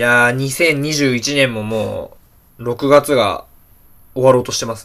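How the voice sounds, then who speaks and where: A man with a bright, sharp tone and a medium pitch uses fairly even intonation while his loudness swings widely. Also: fairly slow pace. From Tokyo, Shibuya. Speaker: podcast co-host. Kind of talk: casual chat.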